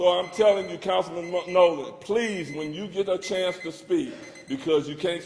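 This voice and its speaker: The voice is loud with ordinary pitch variation, heard over noticeable background noise. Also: man. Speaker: public commenter at council meeting. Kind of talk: public comment speech. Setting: city council chamber.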